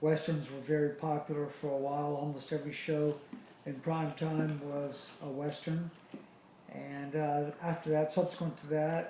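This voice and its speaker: Someone with an American accent talks at a fairly slow pace in a flat monotone. Room echo is audible. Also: man. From US South, Charleston, South Carolina. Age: 60s. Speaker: interviewee recalling childhood. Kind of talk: interview. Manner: hesitant, many fillers.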